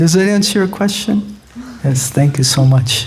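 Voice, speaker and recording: A man with a New York accent talks at a moderate pace with fairly high pitch and lively intonation. Noticeable background noise and audible room echo fill the recording. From US, New York. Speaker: monk and spiritual teacher. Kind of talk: lecture.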